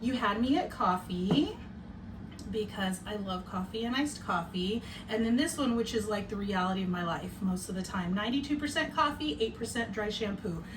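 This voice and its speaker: Lively intonation from a woman at a moderate pace, with audible room echo. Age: 40s. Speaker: podcast host. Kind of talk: casual chat. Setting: home bedroom. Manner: loud.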